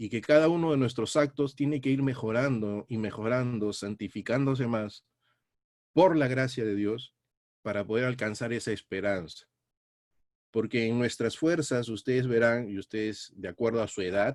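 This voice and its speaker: An ordinary speaking voice from a man, medium in pitch, moderate in pace, with ordinary pitch variation. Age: 60s. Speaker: Bible teacher. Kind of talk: sermon.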